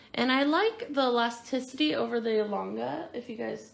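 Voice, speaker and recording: Talking at a fairly slow pace, a woman shows ordinary pitch variation. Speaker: craft store instructor. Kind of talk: tutorial. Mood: relaxed friendly.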